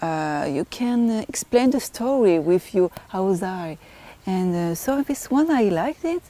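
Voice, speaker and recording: A woman speaks at a fairly slow pace with a French accent. Her tone is dark and mellow, at medium pitch. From France. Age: 20s. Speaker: beauty pageant contestant. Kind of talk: interview. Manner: halting.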